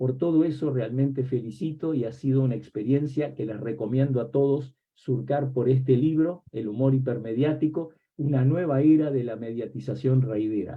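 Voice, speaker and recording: A man speaks in a Rioplatense accent at a medium pitch. His pace is moderate, with ordinary pitch variation. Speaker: academic book presenter, semiotics professor. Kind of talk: academic book presentation talk. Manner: reflective, with many rhetorical questions.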